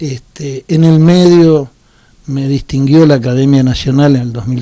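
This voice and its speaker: A man speaks at a medium pitch with an Argentine accent. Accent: Rioplatense Argentine Spanish. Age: 60s. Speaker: former politician. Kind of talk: interview.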